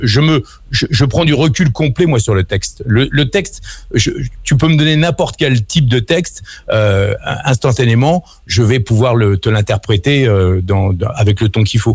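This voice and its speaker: A man speaks at a medium pitch and a moderate pace, his loudness staying very even. His intonation is lively and his voice somewhat breathy. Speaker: voice actor; former radio host. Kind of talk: radio interview answer. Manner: casual, hesitant.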